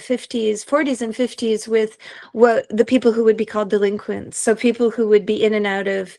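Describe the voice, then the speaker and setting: In a French accent, a woman talks at a fairly high pitch against a quiet background. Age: 50s. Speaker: professor and philosopher. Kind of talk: interview.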